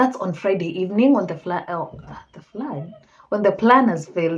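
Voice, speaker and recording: A woman speaks in a normal speaking voice at a moderate pace. Her intonation is lively, and her loudness swings widely. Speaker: true crime storyteller. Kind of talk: casual storytelling.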